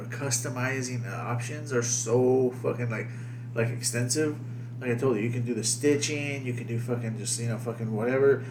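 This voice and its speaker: A man talks at a moderate pace with a medium pitch and flat, monotone intonation. Noticeable background noise runs underneath. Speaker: podcast host. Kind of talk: casual banter, profane. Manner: profane, rambling, filler-heavy.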